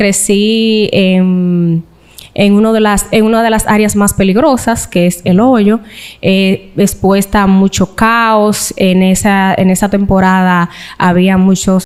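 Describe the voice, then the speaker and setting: A woman talks at a very slow pace with a medium pitch. Her intonation is monotone and flat, and her loudness stays very even. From Dominican Republic, Cibao (Santiago). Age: young. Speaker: interview guest sharing life story. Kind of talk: interview testimony.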